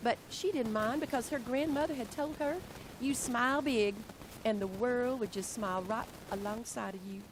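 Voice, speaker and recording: A woman speaks at a moderate pace with a fairly high pitch. Her pitch swings very widely. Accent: Southern US. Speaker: educator, workshop presenter. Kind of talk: reading aloud. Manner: animated.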